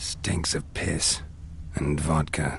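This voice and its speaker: A man speaks in a put-on character voice with a deadpan delivery. Background noise is clearly audible. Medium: video game. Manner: terse, deadpan.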